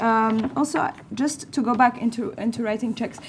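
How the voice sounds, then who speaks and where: A woman speaks with a non-native accent and ordinary pitch variation. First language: not English. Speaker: panelist, refugee advocate. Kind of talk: panel debate. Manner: animated.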